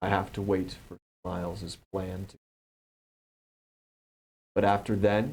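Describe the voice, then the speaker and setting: A man puts on a booming character voice with a fairly low pitch. He speaks at a fairly slow pace. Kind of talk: formal, archaic. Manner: booming, commanding.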